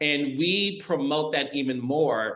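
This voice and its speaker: A man with a slight Midwestern accent. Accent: slight Midwestern twang. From US Midwest, Detroit, Michigan. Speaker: TV producer. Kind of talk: interview.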